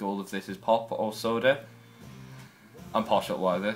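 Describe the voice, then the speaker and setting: A man with a Newcastle accent talks at a moderate pace. His pitch is fairly low and his intonation fairly even. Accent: northern English, mostly Newcastle. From northern England, Newcastle upon Tyne. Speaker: video blogger. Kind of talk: casual vlog, accent challenge.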